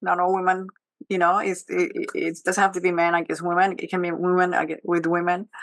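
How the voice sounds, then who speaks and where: Speaking at a fairly quick pace, a woman with a non-native accent uses a medium pitch. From Switzerland, Geneva (born in Colombia). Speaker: panelist, economic development executive and former finance professor. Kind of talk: panel discussion.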